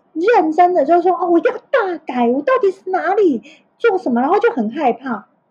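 A woman speaks at an extremely high pitch with very wide pitch swings. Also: moderate pace. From Taiwan, Tainan. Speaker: HR director, former beauty-industry educator. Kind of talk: casual interview chat. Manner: halting, repeats words.

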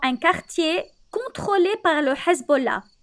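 Bright, sharp, raised and projected voice with lively intonation at a fairly slow pace. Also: woman. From Lebanon. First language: Arabic (speaking Italian). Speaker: storyteller. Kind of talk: storytelling.

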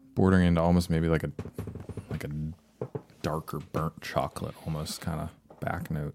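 A man's very deep, low voice with an American accent, fairly quick in pace yet broken by long, frequent pauses, and monotone with flat intonation. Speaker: whiskey tasting guest. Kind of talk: casual chat.

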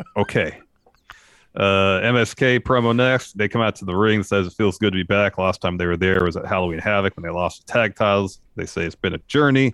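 A man with a plain, everyday voice talks at a fairly quick pace, his pitch fairly low and its variation ordinary. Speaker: wrestling podcast co-host. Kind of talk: casual chat, show recap and review. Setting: live on Twitch stream.

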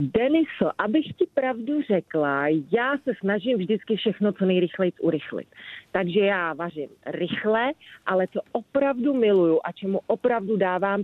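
Her medium-pitched voice moves through very wide pitch swings as the woman speaks. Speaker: magazine editor. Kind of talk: casual interview. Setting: phone call.

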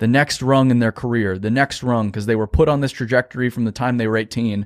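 The recording is very clean, with a silent background. A man talks at a medium pitch with ordinary pitch variation. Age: 20s. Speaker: business owner, construction marketing CEO. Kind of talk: interview.

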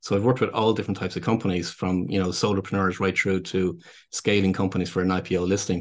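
A man's very deep, low voice in a Dublin accent, very fast, with monotone, flat intonation and very even loudness. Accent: Irish (Dublin). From Ireland, Dublin. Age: 50s. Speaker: business consultant and speaker. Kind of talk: casual interview conversation. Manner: halting, with many repeated words.

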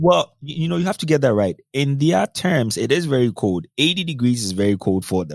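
In a Ghanaian accent, a man speaks at a medium pitch with very wide pitch swings. His pace is fairly quick with hardly any pauses, and the sound is dry and close with no echo. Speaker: cybersecurity consultant. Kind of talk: casual interview chat.

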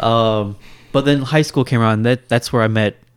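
On a very clean recording with a silent background, a man with a Kentucky accent speaks at a fairly low pitch with ordinary pitch variation. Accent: general American, Kentucky. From Louisville, Kentucky. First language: Indian language. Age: 30s. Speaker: guest, software developer. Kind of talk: casual chat.

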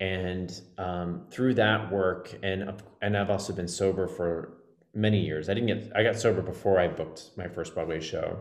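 A man's very deep, low voice at a moderate pace, fairly even in intonation, with audible room echo. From Texas. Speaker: Broadway actor and life coach. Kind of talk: casual interview.

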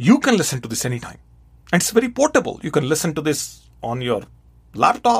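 A man's voice at a fairly quick pace, with very wide pitch swings. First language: not English. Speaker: podcast host; radio host. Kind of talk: solo podcast monologue answering listener question.

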